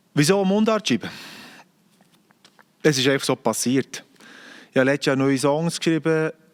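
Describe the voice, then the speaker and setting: A man with a strong Bernese accent and a fairly high pitch speaks at a moderate pace with long, frequent pauses, very even loudness and ordinary pitch variation, in a dry, close sound with no echo. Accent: broad Bernese Swiss German. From Bern, Switzerland. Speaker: singer-songwriter. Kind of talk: casual monologue to camera.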